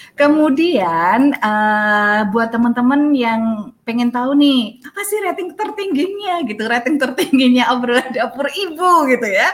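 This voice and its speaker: A high-pitched woman's voice at a fairly slow pace, with very wide pitch swings and hardly any pauses. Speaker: podcast host. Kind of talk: casual chat. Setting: outdoors. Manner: animated.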